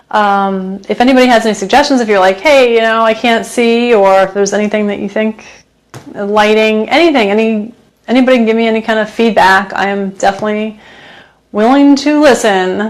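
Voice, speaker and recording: Her pitch fairly high, a woman speaks at a fairly quick pace with fairly even intonation. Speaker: home cook and cooking channel host. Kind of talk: live stream cooking chat. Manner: loud; hesitant, many fillers.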